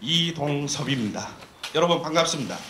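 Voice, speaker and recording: A shaky male voice comes through with audible room echo and noticeable background noise. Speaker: professor and study team leader. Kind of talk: press briefing presentation. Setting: press conference with TV cameras. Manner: formal; slightly trembling voice.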